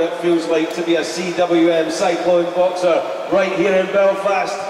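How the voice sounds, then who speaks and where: A man speaks at a fairly slow pace with monotone, flat intonation. Audible room echo and noticeable background noise surround him. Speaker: ring announcer. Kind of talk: public event announcement. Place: hall.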